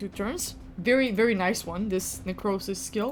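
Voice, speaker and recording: A woman talks with a slight Balkan accent at a moderate pace. Her voice is somewhat breathy, and her tone is animated. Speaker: gaming youtuber. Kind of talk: gameplay commentary.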